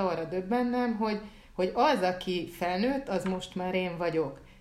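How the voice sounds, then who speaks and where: A woman at a moderate pace with ordinary pitch variation, in audible room echo. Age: 40s. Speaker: podcast co-host, writer. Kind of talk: casual chat.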